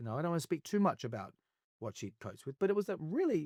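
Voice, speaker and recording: A man speaks with an Australian accent. His fairly high pitch moves in very wide swings. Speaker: actor, singer, television presenter. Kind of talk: interview answer. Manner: candid, reflective.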